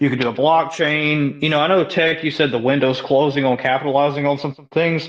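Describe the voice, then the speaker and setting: At a fairly quick pace with hardly any pauses, a man with a Southern US accent and fairly high pitch keeps a monotone, flat intonation. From US South (Mississippi). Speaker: salesman, crypto community member. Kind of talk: casual chat. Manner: halting.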